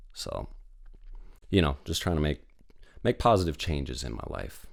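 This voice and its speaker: A man's very deep, low voice with vocal fry, at a moderate pace, with big swings in loudness. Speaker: podcast host. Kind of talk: casual solo podcast monologue. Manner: monotone.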